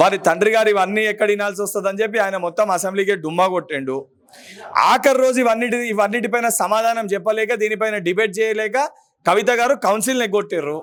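Here a man speaks in a Telangana accent with a high pitch. His pitch variation is ordinary. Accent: Telangana Telugu. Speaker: politician, legislative council member. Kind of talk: political press statement. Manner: forceful, combative.

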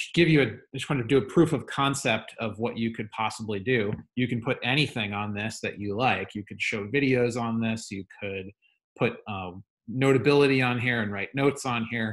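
A man talks at a moderate pace, his pitch varying in an ordinary way, with a quiet background. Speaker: teacher. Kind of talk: tutorial. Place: home room. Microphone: webcam.

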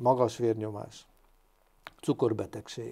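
A man's dark, mellow tone in a monotone, flat intonation, over a quiet background. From Hungary. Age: 60s. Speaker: doctor; guest. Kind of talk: interview. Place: studio. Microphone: lapel.

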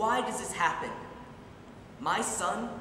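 The voice moves at a fairly slow pace, with audible room echo and light background noise. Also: man. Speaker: actor performing a monologue. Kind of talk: dramatic monologue. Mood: grief and anger. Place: stage. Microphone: camera far.

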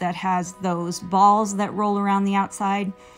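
A woman speaks at a fairly slow pace. Music plays behind her. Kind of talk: commentary.

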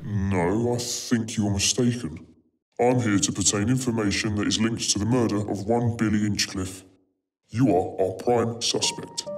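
Faint music plays in the background as a man talks at a medium pitch and a moderate pace. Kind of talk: police interview procedure. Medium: short film. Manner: calm, formal, coldly menacing.

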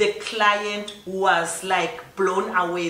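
A woman with a South African accent and a fairly low pitch speaks in a bright, sharp tone with fairly even intonation, in audible room echo.

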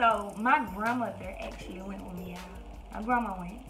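A woman speaks at a moderate pace. Clear music can be heard behind her. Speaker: vlogger. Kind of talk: casual vlog chat. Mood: chatty, amused storytelling. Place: home room. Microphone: phone near.

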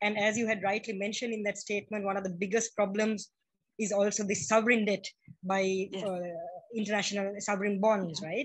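A somewhat breathy woman's voice of medium pitch, fairly quick and monotone, over a quiet background. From Sri Lanka. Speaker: feminist activist. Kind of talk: audience question. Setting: video call. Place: home room. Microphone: video call.

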